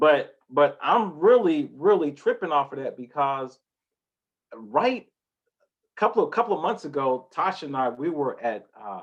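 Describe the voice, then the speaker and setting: A man speaks at a fairly slow pace with a fairly high pitch. His tone is animated, and his pitch swings very widely. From US Midwest, Indianapolis. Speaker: podcast host. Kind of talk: casual discussion.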